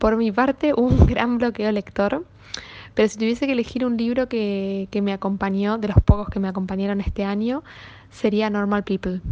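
A woman's plain, everyday voice at a medium pitch and moderate pace, with fairly even intonation. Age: young. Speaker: book editor. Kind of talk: recorded book recommendation.

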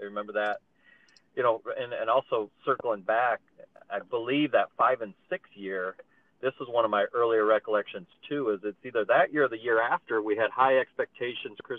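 With an American accent, a man talks in a normal speaking voice at a moderate pace, medium in pitch with fairly even intonation. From eastern Iowa, US Midwest. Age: 40s. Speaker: basketball coach. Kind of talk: casual chat.

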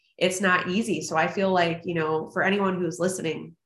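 Audible room echo surrounds a woman's voice. She talks at a moderate pace in a medium pitch. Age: 20s. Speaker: podcast host. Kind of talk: casual interview. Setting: video call.

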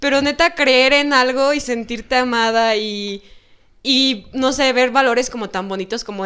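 The background is quiet. A woman talks with ordinary pitch variation. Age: 20s. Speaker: psychology student. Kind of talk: casual chat.

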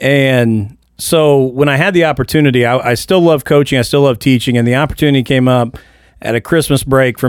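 This man speaks in an ordinary speaking voice at a medium pitch, with fairly even intonation and an American accent. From Indiana, small town. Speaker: school principal. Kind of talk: casual chat. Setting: studio.

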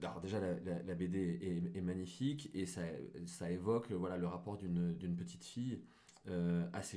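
Audible room echo surrounds a man with a very deep, low pitch and a dark, mellow tone. He talks at a moderate pace. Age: 30s. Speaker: digital marketer. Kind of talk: casual chat.

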